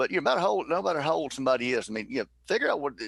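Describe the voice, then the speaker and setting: A man with a strong Southern US accent talks at a very fast pace in a fairly high voice. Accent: thick Southern. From US South, Mississippi. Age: 50s. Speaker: former baseball player. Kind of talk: casual chat.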